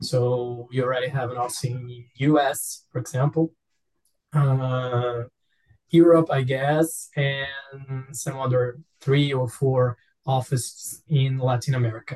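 A man with a Portuguese accent speaks at a medium pitch, somewhat breathy. His delivery is fairly slow with monotone, flat intonation. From Brazil. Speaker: language student, tech worker. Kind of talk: language class discussion. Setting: video call.

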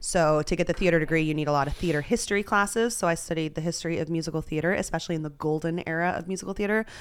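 A woman talks at a very fast pace. Her voice sits fairly low. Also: ordinary pitch variation, hardly any pauses. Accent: American. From Texas. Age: 30s. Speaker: poker player. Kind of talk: casual chat. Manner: filler-heavy, talks a lot.

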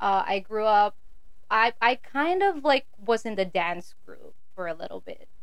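Audible room echo follows a woman as she talks fairly slowly. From Philippines, raised in Saudi Arabia. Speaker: church musician. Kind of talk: testimony.

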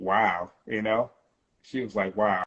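A man with an American accent has an ordinary speaking voice. His pitch is fairly low and his intonation fairly even. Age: 50s. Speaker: hip hop rapper. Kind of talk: casual interview. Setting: phone call.

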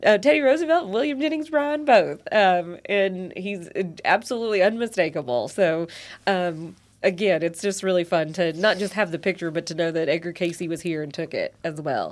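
A woman with a Kentucky accent, medium-pitched, at a moderate pace with very wide pitch swings, on a very clean recording over a silent background. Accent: Southern US, Kentucky. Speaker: podcast host. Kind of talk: casual conversational interview. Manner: filler-heavy, hesitant.

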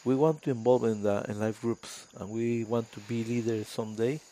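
A man with a Spanish accent speaks at a medium pitch and a moderate pace. His tone is dark and mellow, his intonation monotone and flat. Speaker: pastor on mission trip. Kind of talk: casual chat.

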